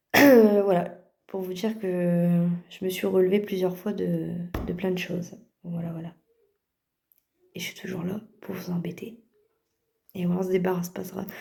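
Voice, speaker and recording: A dark, mellow voice, somewhat breathy and flat in intonation, moves at a fairly slow pace with long, frequent pauses. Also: woman, medium pitch for a woman. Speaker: vlogger and mother. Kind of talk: casual vlog address to viewers.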